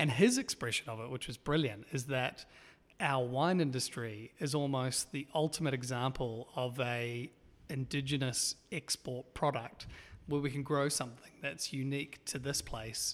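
This man has a New Zealand accent and a medium pitch. He talks at a moderate pace with fairly even intonation. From New Zealand, East Auckland. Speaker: documentary filmmaker. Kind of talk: interview. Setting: at a film company office.

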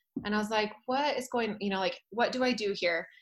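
A woman with an American accent and a plain, everyday voice speaks at medium pitch with fairly even intonation. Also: very clean recording, silent background. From Utah. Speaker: fitness instructor. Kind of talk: casual chat.

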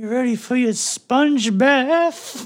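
A put-on character voice speaks at a fairly high pitch and a fairly slow pace. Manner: creepy, oily.

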